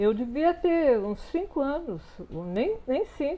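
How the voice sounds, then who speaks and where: A woman with a high voice speaks at a fairly slow pace. Her pitch swings very widely. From southern Brazil, Erechim (Rio Grande do Sul). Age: 80s+. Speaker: writer and visual artist. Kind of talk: interview. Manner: halting, with many repetitions.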